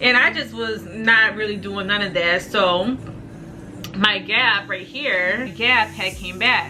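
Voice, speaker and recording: Over noticeable background noise and audible room echo, a woman talks in a fairly high pitch with ordinary pitch variation. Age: 20s. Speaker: beauty vlogger. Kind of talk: casual vlog. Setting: at home; in a car.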